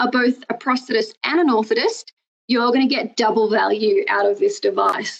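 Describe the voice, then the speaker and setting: In an Australian accent, a woman talks with a high pitch and very wide pitch swings. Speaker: prosthetics educator. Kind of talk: webinar lecture. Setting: recorded webinar with screen share. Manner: hesitant, many fillers.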